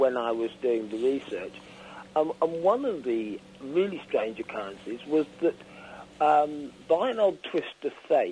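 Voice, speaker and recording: Speaking at a moderate pace in a southern English accent, a man with a fairly high pitch makes very wide pitch swings. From Isle of Wight, England. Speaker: author. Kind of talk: radio interview answer.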